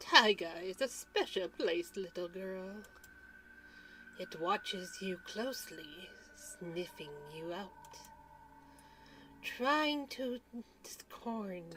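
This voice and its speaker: A soft-spoken, put-on character voice moves at a very slow pace, with long, frequent pauses. Background noise is clearly audible. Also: female-sounding voice, medium pitch for a woman. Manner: gentle, storytelling.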